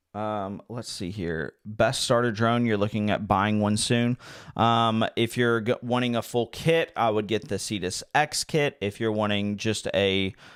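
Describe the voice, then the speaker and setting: On a very clean recording with a silent background, a man of medium pitch speaks fairly slowly with hardly any pauses. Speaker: livestreamer playing drone simulator. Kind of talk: live gaming stream chat. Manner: animated.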